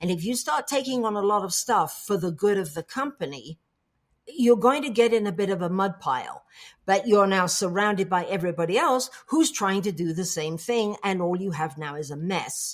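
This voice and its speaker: Lively intonation marks this moderate-paced delivery in an English accent. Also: woman, medium pitch for a woman. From England. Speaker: coach and public speaker. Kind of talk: interview.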